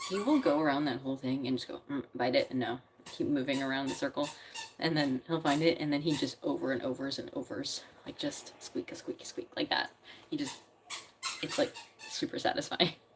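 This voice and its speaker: A woman speaks in an animated tone at a fairly quick pace. Noticeable background noise is present. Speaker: lifestyle livestreamer. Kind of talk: casual chat.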